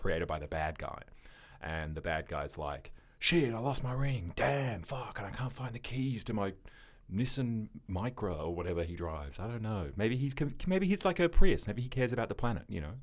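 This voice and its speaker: A man speaks at a medium pitch and moderate pace, with vocal fry and very wide pitch swings. The recording is very clean, with a silent background. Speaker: podcast host. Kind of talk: casual comedy chat.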